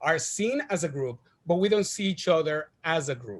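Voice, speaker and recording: A man in a Spanish accent talks with a high pitch and ordinary pitch variation. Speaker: TV creator and director. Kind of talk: panel interview. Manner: animated, some halting repetitions.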